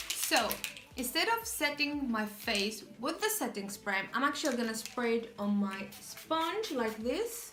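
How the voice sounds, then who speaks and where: Amid noticeable background noise and audible room echo, a woman speaks at a high pitch and a fairly slow pace. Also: ordinary pitch variation. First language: Arabic. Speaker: beauty vlogger. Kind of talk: makeup tutorial. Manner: casual, chatty.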